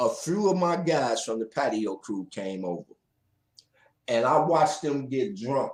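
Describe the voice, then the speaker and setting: With vocal fry and very wide pitch swings, a man talks at a moderate pace and medium pitch. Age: 60s. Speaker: DJ and live show host. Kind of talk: casual interview on a livestream. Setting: live stream.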